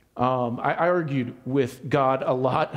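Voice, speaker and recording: A man's voice, with ordinary pitch variation, carries audible room echo amid noticeable background noise. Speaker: pastor. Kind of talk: sermon.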